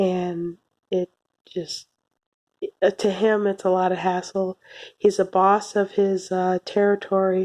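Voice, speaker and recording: A soft-spoken woman at medium pitch, very slow and monotone, with long, frequent pauses and a dry, close sound with no echo. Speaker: anime reviewer. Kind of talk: video review monologue. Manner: hesitant, with fillers.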